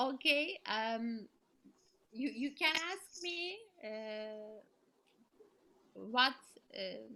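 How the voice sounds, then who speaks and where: A woman with a high, bright, sharp voice and lively intonation speaks at a very slow pace with long, frequent pauses. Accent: Turkish. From Turkey. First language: Turkish. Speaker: storyteller. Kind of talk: casual Q&A in online meeting. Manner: normally loud. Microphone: sounds too quiet, technical problem.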